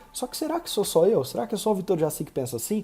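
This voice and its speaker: Over music in the background, a man talks at a fairly quick pace with very wide pitch swings. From Brazil. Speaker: medical marketing consultant. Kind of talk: recorded online lecture. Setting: live online class at computer. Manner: fast.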